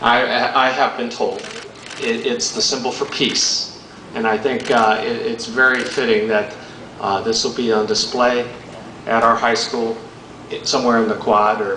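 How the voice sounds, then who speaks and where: A man talks at a fairly slow pace, leaving long, frequent pauses. The room echo is audible, and there is noticeable noise in the background. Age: 70s. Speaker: ceremony emcee. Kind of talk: public ceremony speech.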